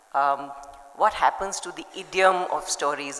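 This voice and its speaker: Through noticeable background noise, a woman speaks at a moderate pace with fairly even intonation. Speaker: panel moderator and children's publisher. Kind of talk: panel discussion. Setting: stage with audience.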